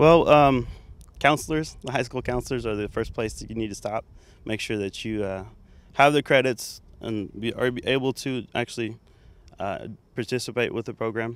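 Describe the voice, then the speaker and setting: In an American accent, a man speaks at a moderate pace with ordinary pitch variation in a dry sound with no echo. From Texas, Waco area. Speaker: welding teacher. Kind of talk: interview. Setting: outdoors. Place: open country. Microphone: handheld.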